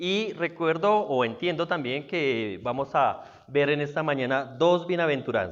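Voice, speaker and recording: This man speaks with lively intonation. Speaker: guest preacher. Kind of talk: sermon. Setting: church service. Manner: fast; animated.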